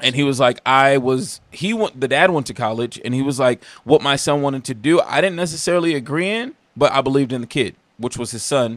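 On a very clean recording with a silent background, a man speaks in a plain, everyday voice, fairly high in pitch with ordinary pitch variation. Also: fairly quick pace. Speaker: entrepreneur. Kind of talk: casual chat.

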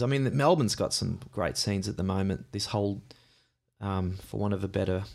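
Using an Australian accent, a man with a fairly low pitch speaks at a fairly quick pace with lively intonation. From Australia, Gympie, Queensland. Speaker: singer-songwriter. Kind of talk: live interview. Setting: stage with audience. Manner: halting.

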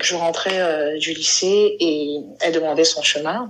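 A woman's ordinary speaking voice, fairly low in pitch with ordinary pitch variation, at a fairly slow pace. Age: 30s. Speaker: LGBT community member sharing her story. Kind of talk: interview testimony.

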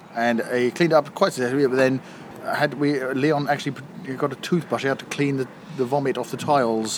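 A fairly high-pitched man at a fairly quick pace, with big swings in loudness and noticeable background noise. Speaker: podcast guest. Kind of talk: casual banter. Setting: pub garden.

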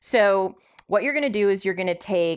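This woman speaks with a West Coast US accent. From California. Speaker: Facebook group admin and keto advocate. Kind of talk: recipe tutorial; casual chat.

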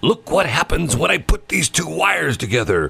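Someone performs a put-on character voice at a moderate pace. The pitch swings very widely. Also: man, medium pitch for a man. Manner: mock-serious, demonstrating.

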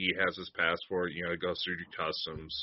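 A man with an American accent at a moderate pace. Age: 20s.

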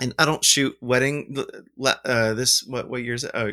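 A bright, sharp tone with an American accent, on a very clean recording with a silent background. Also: man. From US South, Alabama. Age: 40s. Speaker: film lab owner and wedding photographer. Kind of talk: casual chat. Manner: rambling, animated.

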